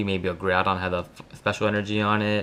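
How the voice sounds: A man talks at a moderate pace with fairly low pitch. His tone is fairly bright and his intonation fairly even.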